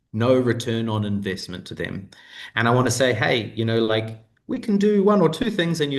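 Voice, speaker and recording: This speaker talks at a moderate pace with a New Zealand accent. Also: man. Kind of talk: interview answer on video call. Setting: video call.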